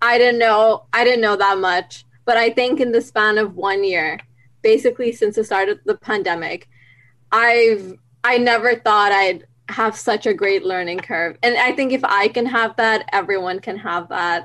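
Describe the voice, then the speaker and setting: A woman with a plain, everyday voice, fairly high in pitch, speaks at a moderate pace with ordinary pitch variation on a very clean recording with a silent background. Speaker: university student. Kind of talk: podcast interview.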